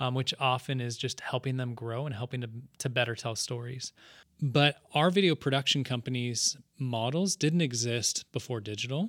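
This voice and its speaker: A man talks at a moderate pace and medium pitch in a plain, everyday voice with ordinary pitch variation. The recording is very clean with a silent background and a dry, close sound with no echo. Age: 30s. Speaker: podcast host and video producer. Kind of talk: casual chat.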